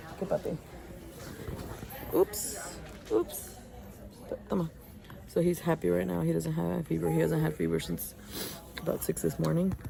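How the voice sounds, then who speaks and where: Whispering amid noticeable background noise, a woman leaves long pauses that come often. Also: moderate pace. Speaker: vlogger, mother of a sick baby. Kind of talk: casual vlog. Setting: hospital.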